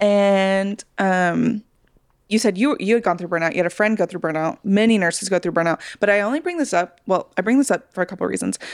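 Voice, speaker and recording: Fairly quick delivery in an unremarkable speaking voice, pitch varying in an ordinary way. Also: woman, medium pitch for a woman. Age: 30s. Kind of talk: casual chat.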